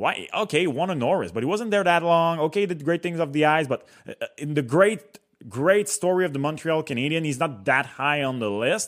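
A man speaks at a fairly quick pace with a Quebec French accent. His pitch sits fairly high and his intonation is lively. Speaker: hockey commentator. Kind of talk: casual hockey talk show.

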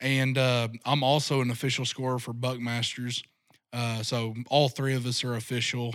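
On a very clean recording with a silent background, a voice with an American accent speaks at a moderate pace with a monotone, flat intonation. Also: man, medium pitch for a man. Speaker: deer hunting guide and outdoor media creator. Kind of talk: casual interview.

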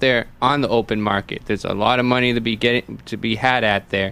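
A man with an American accent talks at a fairly quick pace in medium pitch, his intonation fairly even, in an unremarkable speaking voice. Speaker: political candidate. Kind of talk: radio interview.

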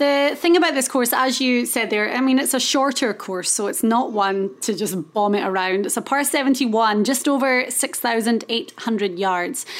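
Speaking in a Scottish accent, a woman with a high pitch talks fairly slowly with lively intonation and hardly any pauses. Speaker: golf podcast host. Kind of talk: casual chat.

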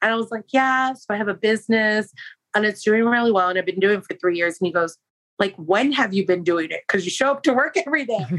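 A woman with an American accent talks at a very fast pace, her fairly high pitch carried by lively intonation and an animated tone. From San Francisco, California. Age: 40s. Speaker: entrepreneur and candle maker. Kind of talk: casual chat.

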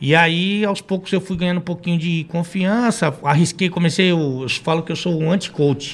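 This man speaks in a high voice at a moderate pace, keeping his intonation fairly even and hardly pausing at all. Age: 40s. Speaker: football commentator and former futsal coach. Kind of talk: casual chat.

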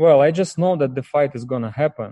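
Heard in a dry, close sound with no echo, a man with a dark, mellow tone talks at a moderate pace with ordinary pitch variation. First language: Russian or Ukrainian. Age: 30s. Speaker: professional boxer, former champion. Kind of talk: interview. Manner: halting.

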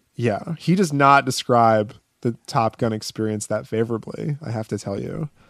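An unremarkable speaking voice from a man at a medium pitch, at a moderate pace with ordinary pitch variation, in a dry, close sound with no echo. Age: 30s. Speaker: podcast co-host. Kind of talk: casual chat.

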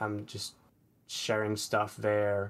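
A man's fairly low-pitched voice. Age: 20s. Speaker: aspiring comic artist. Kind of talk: personal advice session. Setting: online call. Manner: halting, repeats words.

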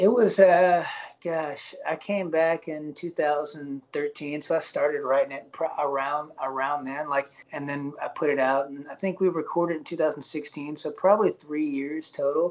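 Against noticeable background noise, a man with a fairly high pitch speaks at a fairly slow pace with fairly even intonation. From Alabama. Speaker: singer-songwriter. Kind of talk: interview. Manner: halting.

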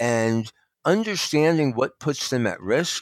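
A man with an American accent has an unremarkable speaking voice, lively intonation and a fairly slow pace. The recording is very clean, with a silent background and a dry, close sound with no echo. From New Jersey. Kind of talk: interview.

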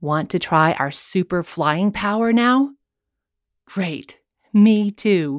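A woman's medium-pitched voice in a gentle, enthusiastic tone, with a dry, close sound and no echo. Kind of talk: guided kids' yoga session with playful superhero storytelling. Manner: warm, upbeat and encouraging, with pauses for movement and playful exclamations; slow, clear, gentle pacing with enthusiastic sound effects.

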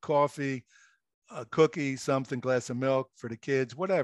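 Here is a man with an American accent, a fairly high pitch and an ordinary speaking voice, at a moderate pace with ordinary pitch variation. The sound is dry and close with no echo over a quiet background. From Philadelphia, US. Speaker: author and former radio host, military veteran. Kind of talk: casual interview.

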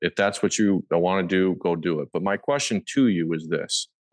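A man with a US Midwestern accent speaks at a moderate pace in a very deep, low pitch against a quiet background. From Nebraska, Omaha area. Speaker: hunter and land investor. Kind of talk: casual interview.

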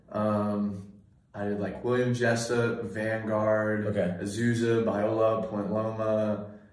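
In an American accent, the speaker moves at a very slow pace with monotone, flat intonation over noticeable background noise. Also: man, fairly low pitch for a man. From Sacramento area, Northern California. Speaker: college student. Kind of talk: casual chat.

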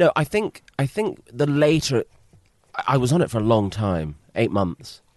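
A British accent with very wide pitch swings, a fairly slow pace and a dry, close sound free of echo. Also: man, medium pitch for a man. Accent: British, remarked as cool. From Britain. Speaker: film composer. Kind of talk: casual interview. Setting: composer's studio.

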